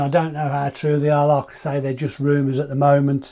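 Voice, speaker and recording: A man with a British accent, fairly high in pitch with a dark, mellow tone, in a very clean recording with a silent background. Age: 50s. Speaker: astrophotography YouTuber. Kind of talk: product review. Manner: casual, some hesitations.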